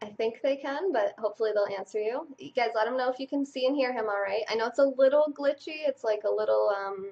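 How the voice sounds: Talking fast with few pauses, a woman uses a fairly high pitch, ordinary pitch variation, a slightly mellow tone and vocal fry.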